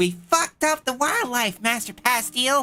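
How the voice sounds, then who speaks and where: A female-sounding voice uses a put-on character voice with high pitch at a moderate pace. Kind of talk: comedic swearing. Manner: cute, cheerful.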